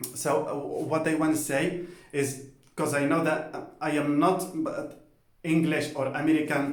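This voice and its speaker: Amid audible room echo, a man with a Spanish accent speaks fairly slowly in a monotone, flat voice with long, frequent pauses. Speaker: polyglot language vlogger. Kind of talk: casual personal talk to camera. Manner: halting with many fillers; informal, colloquial.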